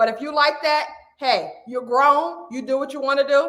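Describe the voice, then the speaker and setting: This woman speaks at a fairly quick pace, her high-pitched voice carrying a bright, sharp tone. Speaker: weight loss coach. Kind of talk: live stream coaching talk. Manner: loud; animated.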